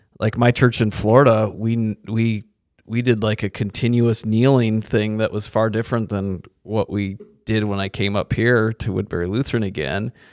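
A plain, everyday voice moves at a moderate pace with fairly even intonation, dry and close with no echo, on a very clean recording with a silent background. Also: man, fairly low pitch for a man. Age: 40s. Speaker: pastor. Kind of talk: casual chat.

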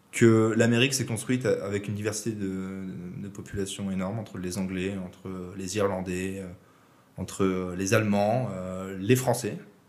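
Audible room echo surrounds a man's fairly low voice. His intonation stays fairly even. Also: fairly slow pace. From southern France, Aix-en-Provence. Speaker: podcast guest, former coding bootcamp classmate. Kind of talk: casual interview conversation.

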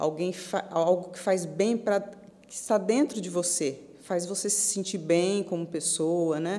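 Very slow speech from a woman, her intonation fairly even. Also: medium pitch for a woman. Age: 50s. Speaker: amateur marathon runner. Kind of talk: interview.

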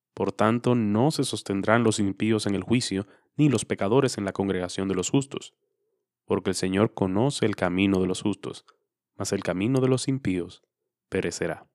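A man's plain, everyday voice, fairly low in pitch with ordinary pitch variation, at a moderate pace, in a very clean recording with a silent background and a dry, close sound with no echo. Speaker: devotional host reading scripture. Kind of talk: scripture reading, devotional.

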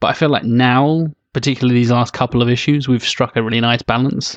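A man with a British accent speaks at a fairly quick pace and a medium pitch with monotone, flat intonation. The sound is dry and close with no echo against a quiet background. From Britain. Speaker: podcast host. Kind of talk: casual chat.

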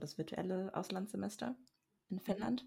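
This voice belongs to a woman. It carries a somewhat breathy quality. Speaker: podcast co-host, university student. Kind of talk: casual chat. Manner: reserved, says little.

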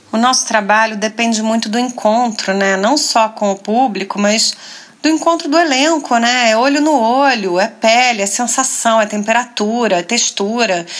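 Noticeable background noise sits behind a woman speaking at a fairly high pitch. Her loudness stays very even. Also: ordinary pitch variation, moderate pace. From Rio de Janeiro, Brazil. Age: 40s. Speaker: actress. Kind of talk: interview. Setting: hotel room.

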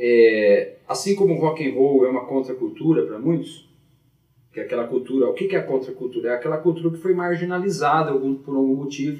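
A man with a normal speaking voice talks at a fairly quick pace and a fairly high pitch, with ordinary pitch variation. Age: 40s. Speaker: teacher and blues harmonica player. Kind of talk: casual chat.

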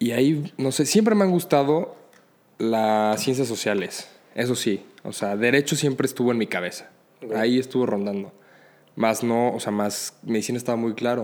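A man has an ordinary speaking voice at medium pitch. He keeps a moderate pace with ordinary pitch variation. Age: 20s. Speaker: law student and emergency medical technician. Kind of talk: casual chat.

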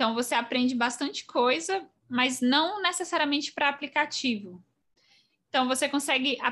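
Her voice is raised and projected, high in pitch, with a bright, sharp tone. The woman's intonation is lively, and the recording is very clean with a silent background. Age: 20s. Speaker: mobile software engineer. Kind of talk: casual interview.

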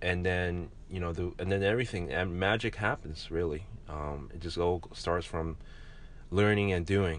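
The speaker is a man with a very deep, low pitch. Audible room echo surrounds his voice. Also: ordinary pitch variation, moderate pace. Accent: American. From New York, Queens. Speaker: entrepreneur. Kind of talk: interview. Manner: halting.

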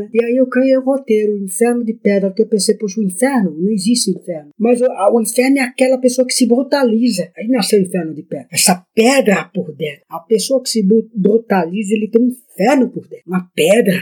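A man talks in a high pitch with a dark, mellow tone and ordinary pitch variation. His pace is fairly quick, with hardly any pauses. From Brazil, Ubatuba, São Paulo coast. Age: 50s. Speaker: writer and filmmaker. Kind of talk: interview.

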